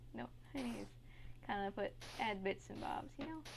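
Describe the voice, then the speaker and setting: A woman speaks softly. Her pace is moderate. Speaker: gaming tutorial creator. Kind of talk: tutorial. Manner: soft-spoken.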